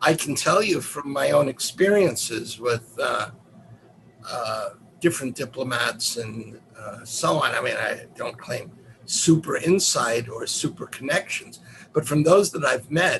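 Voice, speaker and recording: Over noticeable background noise, a man talks at a fairly slow pace in a New York accent. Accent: New York American. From US, New York City (Manhattan). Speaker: professor. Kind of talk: lecture.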